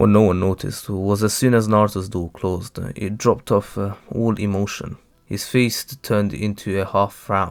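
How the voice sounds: This is a natural reading voice with fairly even intonation.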